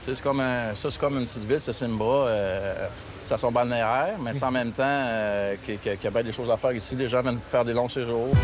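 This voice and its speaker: Over noticeable background noise, a man talks at a very fast pace. His pitch is medium and his intonation fairly even. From Quebec. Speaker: travel agency owner. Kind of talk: casual interview. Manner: halting, many repetitions and false starts.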